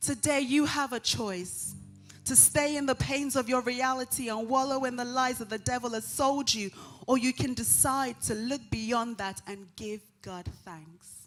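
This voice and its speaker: Music plays in the background as the speech unfolds at a fairly slow pace. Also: woman, high pitch for a woman, ordinary pitch variation. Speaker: church member. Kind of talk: spoken word poetry performance.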